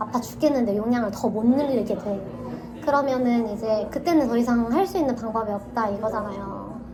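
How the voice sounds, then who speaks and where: A woman's fairly high voice over music in the background, with audible room echo. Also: ordinary pitch variation, moderate pace. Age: 30s. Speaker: chronic pain patient. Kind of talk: casual chat. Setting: in-person meeting.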